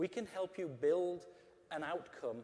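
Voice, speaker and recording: In an English accent, a man speaks with a dark, mellow tone. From England. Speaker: customer service executive. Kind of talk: conference talk.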